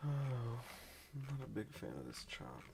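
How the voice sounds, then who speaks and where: Here is a man speaking at a medium pitch. His voice is somewhat breathy. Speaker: futures trader live streamer. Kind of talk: live trading stream commentary. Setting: live stream.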